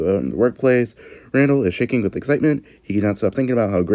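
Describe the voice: Plain reading aloud, its pitch varying in an ordinary way.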